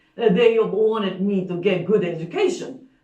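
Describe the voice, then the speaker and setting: A woman with a Japanese accent and a medium pitch speaks at a moderate pace with very wide pitch swings, with audible room echo around her. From Japan, Osaka. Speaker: storyteller. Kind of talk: storytelling performance. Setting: stage with live audience. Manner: halting, with fillers.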